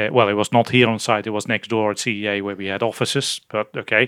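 A man with a Dutch accent talks very fast in a fairly low pitch, his tone bright and sharp. The recording is very clean, with a silent background. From Netherlands. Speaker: physicist and fusion project manager. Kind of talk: interview. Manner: halting with frequent fillers.

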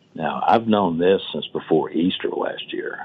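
A man speaks over noticeable background noise. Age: 60s. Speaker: nanotechnology company executive. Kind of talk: radio interview.

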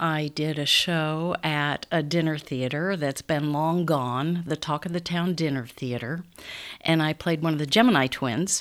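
A woman's very deep, low voice with a Midwestern American accent, fairly slow in pace with ordinary pitch variation, in a very clean recording with a silent background. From Council Bluffs, Iowa. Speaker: stage actress. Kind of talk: interview conversation.

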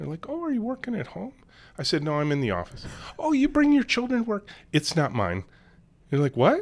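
Long, frequent pauses break up the man's speech. Between them he talks at a fairly quick pace. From US Midwest (Michigan). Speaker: company CEO and author. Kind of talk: casual interview chat. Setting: in-person studio.

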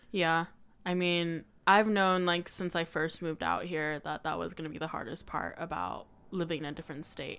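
An unremarkable speaking voice belongs to a woman with an American accent, pitched fairly low, with fairly even intonation at a moderate pace. The recording is very clean, with a silent background. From Colorado, US. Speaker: podcaster. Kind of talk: casual chat.

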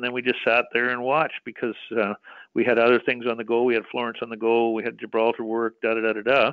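A man with a Western Canadian accent speaks at a fairly quick pace in a medium pitch. His intonation stays monotone and flat. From British Columbia, Canada. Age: 60s. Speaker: mining company executive. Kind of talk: interview.

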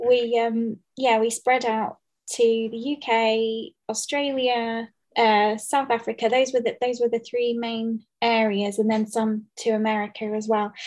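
Against a quiet background, a woman speaks fairly slowly in a fairly high pitch with monotone, flat intonation. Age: 30s. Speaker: podcast host. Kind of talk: casual interview. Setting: remote call.

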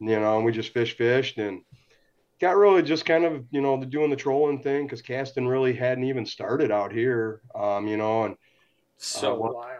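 Medium in pitch, a man speaks at a moderate pace with ordinary pitch variation. The background is quiet. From Michigan, St. Clair Shores (Detroit area). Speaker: fishing charter guide. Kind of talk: casual chat.

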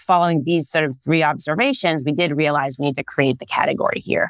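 A woman with an Israeli accent speaks in a very deep, low pitch with ordinary pitch variation. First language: Hebrew. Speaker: startup co-founder and CEO. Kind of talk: interview conversation.

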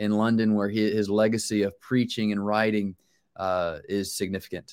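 A man with a fairly low pitch and an American accent talks at a moderate pace in a plain, everyday voice. The recording is very clean, with a silent background. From US South, Charlotte, North Carolina. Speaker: pastor. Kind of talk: interview.

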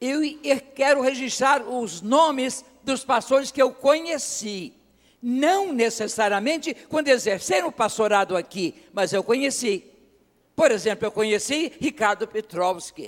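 Lively intonation marks talking delivered at a fairly slow pace. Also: man, extremely high pitch for a man. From Brazil, interior of Rio de Janeiro state. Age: old. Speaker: pastor. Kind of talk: sermon. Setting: church.

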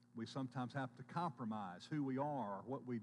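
A man speaks with a medium pitch and ordinary pitch variation. His pace is moderate. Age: 50s. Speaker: pastor. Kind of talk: sermon. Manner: halting.

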